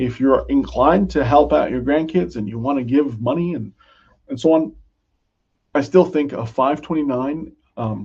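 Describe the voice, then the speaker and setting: This man's voice is fairly high-pitched and somewhat breathy, with ordinary pitch variation. He leaves long, frequent pauses. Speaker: financial advisor presenting a webinar. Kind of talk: educational webinar. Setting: online webinar. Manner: slow, deliberate.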